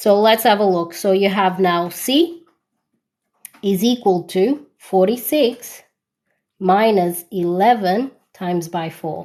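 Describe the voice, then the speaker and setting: A woman speaks loudly at a medium pitch with ordinary pitch variation. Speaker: maths tutor. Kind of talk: live online tutorial. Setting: TikTok live stream. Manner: loud on stream.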